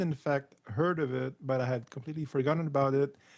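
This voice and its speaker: The speaker talks in a Quebec accent with ordinary pitch variation. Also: man. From Quebec, small town. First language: French. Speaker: YouTube film critic. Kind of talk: live stream reading comments. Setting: live stream. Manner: halting, many fillers.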